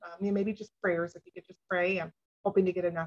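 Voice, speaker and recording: A woman's somewhat breathy voice in a monotone, flat intonation, with a dry, close sound and no echo. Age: 50s. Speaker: abuse survivor advocate. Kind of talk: interview testimony.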